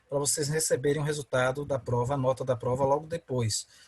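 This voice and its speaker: Here a man speaks at a moderate pace with a fairly high pitch and a somewhat breathy quality. The sound is dry and close, with no echo. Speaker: law professor. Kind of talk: online lecture. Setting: video call.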